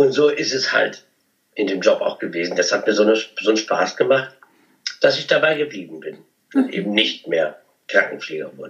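A man keeps a moderate pace but breaks it with long, frequent pauses. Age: 50s. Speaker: cabaret artist and comedian. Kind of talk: interview.

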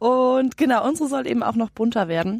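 On a very clean recording with a silent background, a woman speaks. Her pitch swings very widely. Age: 20s. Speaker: trainee and van traveller. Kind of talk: interview.

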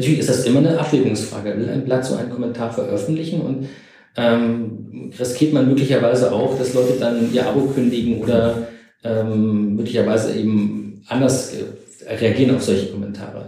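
Vocal fry runs through a man's dark, mellow voice as he speaks at a moderate pace amid audible room echo. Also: medium pitch for a man, fairly even intonation. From East Germany. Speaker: historian. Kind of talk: interview.

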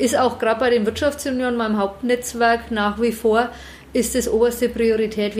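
With an unremarkable speaking voice, a woman talks at a fairly quick pace and a fairly high pitch, her intonation fairly even. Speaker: managing director of a business park. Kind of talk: interview. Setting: office.

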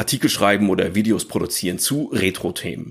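This man has a fairly low pitch and a slight northern German accent, in a very clean recording with a silent background. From northern Germany. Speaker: former games hardware journalist. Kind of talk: podcast interview.

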